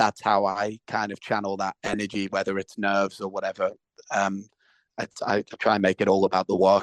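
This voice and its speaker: A man with a Liverpool accent speaks at a moderate pace and a fairly low pitch, his intonation monotone and flat. The sound is dry and close, with no echo. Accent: Scouse. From Liverpool, England. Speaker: actor and musician. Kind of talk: interview. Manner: halting, with many repetitions.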